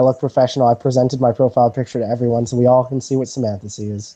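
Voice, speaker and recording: A man with a dark, mellow tone, talking at a very fast pace. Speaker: video chat show host. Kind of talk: casual chat. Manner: formal-sounding; animated.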